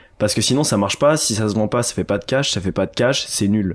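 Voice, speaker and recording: A man with a French accent is heard on a very clean recording with a silent background. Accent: French from France. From France, Annecy. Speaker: DJ. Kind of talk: casual chat. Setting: living room.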